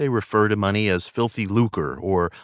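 Over a quiet background, a man with a plain, everyday voice and fairly low pitch speaks at a moderate pace, the sound dry and close with no echo. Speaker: audiobook narrator. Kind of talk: audiobook narration, reading aloud a self-help text. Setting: studio. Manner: measured, earnest, calm and steady; warm, persuasive, inspirational, formal.

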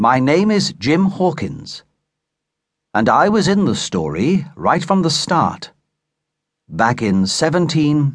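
A man's fairly high voice at a very slow pace, with very wide pitch swings, long, frequent pauses, very even loudness and a quiet background. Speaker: audiobook narrator. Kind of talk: audiobook narration (first-person adventure story).

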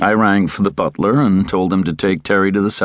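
Someone is reading aloud in a natural voice. The reading carries on throughout.

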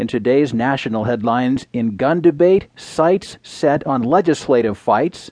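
This man has an unremarkable speaking voice at a medium pitch, with lively intonation. He keeps a moderate pace with hardly any pauses. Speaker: newsreader. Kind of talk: formal scripted news reading of newspaper front-page stories. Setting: studio. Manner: measured, even-paced and crisp, with neutral authoritative delivery; formal and precise, clearly enunciating names and headlines.

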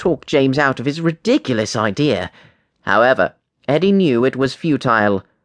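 Lively intonation in an unforced reading voice, set against a quiet background

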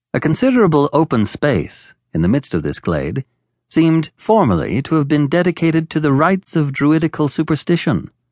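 Male speaker with an ordinary speaking voice, fairly high pitch and lively intonation at a fairly quick pace. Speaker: audiobook narrator. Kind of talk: audiobook reading of a classic novel, scripted narration. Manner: measured, formal, even-paced; steady descriptive storytelling with a literary cadence.

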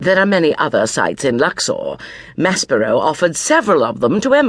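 The voice reads naturally. It sounds like natural reading aloud.

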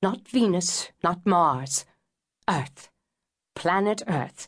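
In a somewhat breathy voice, someone talks very slowly. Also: woman. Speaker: audiobook narrator. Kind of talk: dramatic audiobook narration of a mythic cosmic first-person monologue. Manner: grave, incantatory storytelling with weighty pauses; rising, expressive emphasis on sweeping poetic images.

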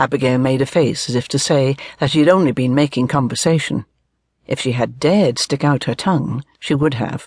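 The speaker uses an unforced reading voice over a quiet background.

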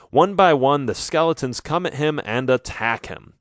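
A man's fairly high voice, dramatic and animated in tone, with ordinary pitch variation, a fairly slow pace and a quiet background. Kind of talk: scripted audiobook narration of a children's adventure story. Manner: dramatic, animated storytelling with sound effects and character lines.

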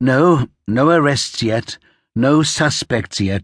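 Quiet background behind an unforced reading voice

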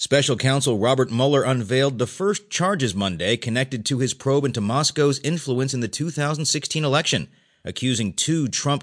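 This is a man with a normal speaking voice at a medium pitch and ordinary pitch variation. He talks at a fairly quick pace against a quiet background. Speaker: audiobook narrator reading newspaper stories. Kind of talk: formal newsreading, audiobook-style. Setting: studio recording. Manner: formal, measured, even-paced newsreader delivery; neutral, impersonal, clearly enunciated.

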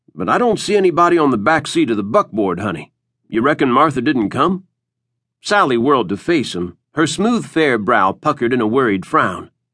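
Against a quiet background, a man with a medium pitch speaks in a dramatic, animated tone that is bright and sharp, with vocal fry. His pitch swings very widely. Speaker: audiobook narrator. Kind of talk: scripted audiobook narration of a western, voicing characters. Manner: dramatic, animated storyteller, shifting between characters.

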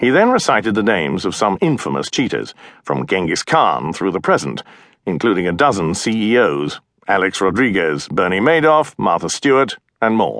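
Against a quiet background, a man with a British accent and fairly low pitch speaks with vocal fry, very wide pitch swings and very even loudness. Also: moderate pace. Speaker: audiobook narrator. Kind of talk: audiobook narration, reading aloud.

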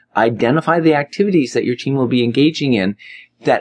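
With an unremarkable speaking voice, a man talks at a fairly quick pace with lively intonation, the sound dry and close with no echo against a quiet background. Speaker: audiobook narrator and author. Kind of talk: audiobook narration, scripted business advice read aloud. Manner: direct, brisk and conversational, with a gently bossy, coaching tone; even, steady pacing, instructional and clear.

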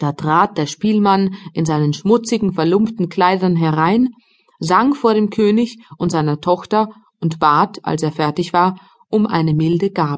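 A woman with an unremarkable speaking voice talks at medium pitch and a fairly slow pace. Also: ordinary pitch variation. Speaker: audiobook narrator. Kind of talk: scripted audiobook narration of a fairy tale, dramatic storytelling for children.

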